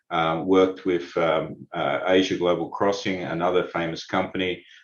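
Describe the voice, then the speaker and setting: A very deep, low-pitched man with an Australian accent, at a moderate pace. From Australia, Sydney. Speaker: lawyer. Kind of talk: webinar presentation. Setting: online webinar. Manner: halting, many fillers.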